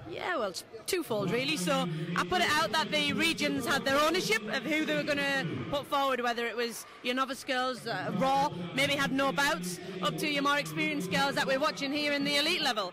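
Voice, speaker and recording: Over noticeable background noise, a woman uses a raised, projected voice at a fairly quick pace, the sound dry with no echo. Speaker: national boxing development coach. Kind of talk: interview answer. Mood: upbeat, positive. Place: hall. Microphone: handheld.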